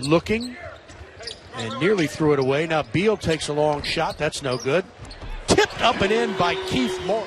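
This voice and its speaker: Over noticeable background noise, a man with a high pitch and lively intonation speaks with long, frequent pauses in a dry sound with no echo. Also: moderate pace. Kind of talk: live sports commentary. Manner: excitable, punchy exclamations. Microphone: headset.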